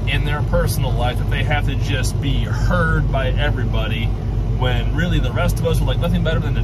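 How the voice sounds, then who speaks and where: Loud background noise surrounds a man's voice, though the sound is dry with no echo. He speaks at a moderate pace. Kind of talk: casual vlog chat. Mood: irritated, ranting. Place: car. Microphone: phone near.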